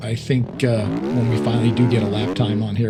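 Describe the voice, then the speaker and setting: A fairly low-pitched man at a fairly quick pace, with audible room echo and noticeable background noise. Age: 60s. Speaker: gaming YouTuber. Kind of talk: gameplay commentary. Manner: casual, hesitant with fillers.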